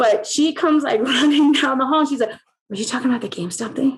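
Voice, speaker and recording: A loud, animated woman with a high pitch and a very fast pace. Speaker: interview guest. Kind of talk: casual chat.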